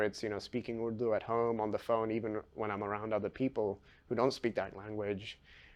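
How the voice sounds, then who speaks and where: A man with a London accent, fairly low in pitch, against a quiet background. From London, England. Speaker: physics PhD student. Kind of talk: interview, personal story. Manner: hesitant, many fillers.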